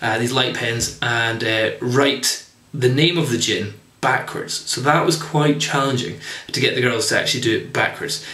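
The voice carries ordinary pitch variation, with audible room echo around it. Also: man. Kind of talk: tutorial. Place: home room. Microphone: camera far.

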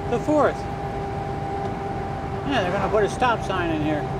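A man is speaking. Loud background noise runs under his voice. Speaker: truck driver vlogger. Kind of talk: casual vlog chat. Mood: relaxed, reflective. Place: car. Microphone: camera far.

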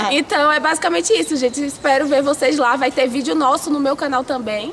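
Light background noise sits under the audio. The voice belongs to a woman. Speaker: youtuber. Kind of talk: casual vlog chat. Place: garden. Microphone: phone near.

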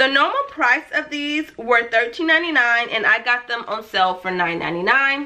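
At a fairly slow pace, a woman speaks in a raised, projected voice with lively intonation. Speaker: lifestyle vlogger. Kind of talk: shopping haul video. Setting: home video recording. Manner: animated. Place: home room.

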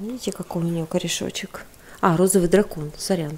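A woman's fairly low, monotone, flat voice at a fairly slow pace over light background noise. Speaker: knitting vlogger. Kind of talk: casual vlog.

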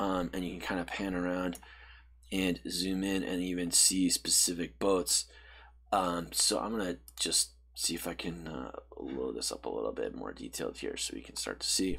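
Very deep and low, a man's voice carries noticeable vocal fry. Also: moderate pace. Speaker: presenter. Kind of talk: tutorial.

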